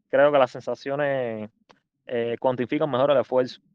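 A plain, everyday voice from a man, fairly high in pitch, at a moderate pace with fairly even intonation. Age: 20s. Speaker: amateur runner. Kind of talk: casual chat.

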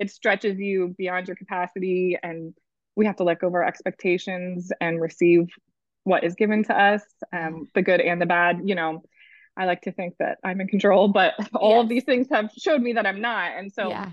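A woman's medium-pitched voice at a moderate pace. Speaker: mother sharing birth stories. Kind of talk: interview storytelling. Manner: animated.

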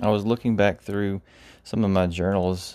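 Speaking in a relaxed, dark, mellow tone, a man keeps a fairly low pitch and a flat monotone. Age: 30s. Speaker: podcast host, IT worker and church volunteer. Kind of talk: casual solo monologue. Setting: home recording. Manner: relaxed, with frequent fillers.

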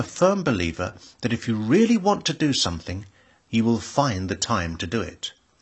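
A British accent comes through. The tempo stays moderate. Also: man. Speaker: music teacher. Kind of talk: scripted monologue.

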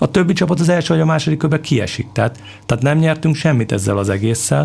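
Lively intonation from a man's somewhat breathy voice. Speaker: football club sporting director, former international player. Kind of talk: interview. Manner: halting, many repeated fillers.

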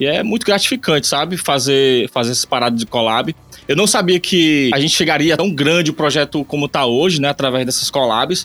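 Fairly high-pitched male voice with ordinary pitch variation, a dry, close sound with no echo, and noticeable background noise. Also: fairly quick pace. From Ceará, Brazil (Eusébio, near Fortaleza). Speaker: musician. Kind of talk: casual interview.

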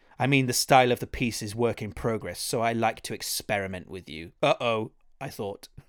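A man of medium pitch talks at a fairly quick pace with a slight Welsh accent. His pitch variation is ordinary, his loudness swings widely, and the sound is dry and close with no echo. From Wales. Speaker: podcast host. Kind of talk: casual interview chat.

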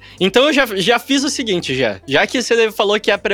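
Recorded dry and close with no echo, a man talks very fast with lively intonation. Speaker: guest podcast host. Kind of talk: casual chat.

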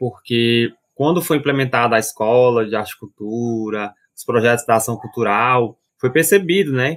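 The pace is moderate, and the pitch variation is ordinary. It is an ordinary speaking voice. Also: man. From Fortaleza, Ceará, Brazil. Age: 20s. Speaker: actor and community arts educator. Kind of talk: casual interview chat.

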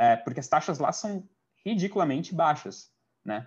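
Against a quiet background, a man with a high pitch speaks with very wide pitch swings. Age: 20s. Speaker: product manager and master's student. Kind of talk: casual interview.

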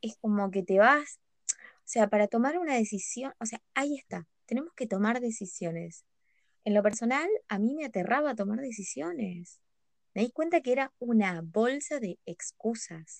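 An unremarkable speaking voice at a moderate pace shows lively intonation and big swings in loudness, heard dry and close with no echo. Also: woman, fairly high pitch for a woman. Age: 20s. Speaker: podcast guest. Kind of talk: casual chat. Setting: recording at night.

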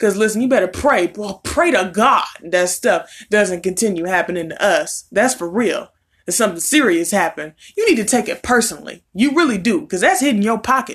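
Lively intonation marks speech delivered at a fairly quick pace. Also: woman, fairly high pitch for a woman. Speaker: YouTuber. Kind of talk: opinion rant monologue. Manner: animated.

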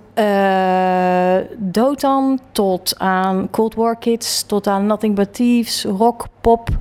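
A woman at a very slow pace with hardly any pauses, very even loudness and fairly even intonation, music in the background. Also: medium pitch for a woman. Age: 40s. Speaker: interior designer. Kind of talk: interview. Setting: her office.

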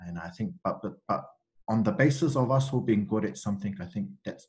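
Talking at a moderate pace with lively intonation, a man uses a fairly low pitch and a New Zealand accent. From New Zealand, Central Auckland. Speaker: university student recruitment advisor. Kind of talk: interview, casual conversation. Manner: hesitant, many fillers.

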